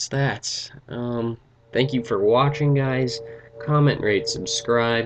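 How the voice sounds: The clip features a natural reading voice.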